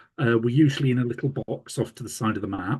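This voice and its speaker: Somewhat breathy, a man speaks at a medium pitch. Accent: Yorkshire. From Yorkshire, England. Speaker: radiographer and hospital manager. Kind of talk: conference presentation. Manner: hesitant, many fillers.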